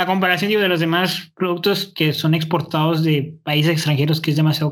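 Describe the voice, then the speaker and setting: Talking at a fairly quick pace, a man uses a high-pitched voice. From northern Mexico, Nuevo León. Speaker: podcast co-host, law student. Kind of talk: casual chat. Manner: fast.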